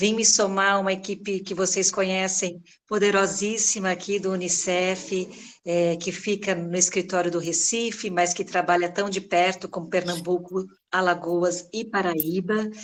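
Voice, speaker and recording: Monotone, flat intonation goes with a fairly slow pace. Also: woman, medium pitch for a woman. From São Paulo, Brazil. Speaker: head of a children's agency regional office. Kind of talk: welcome speech in online meeting. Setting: video call.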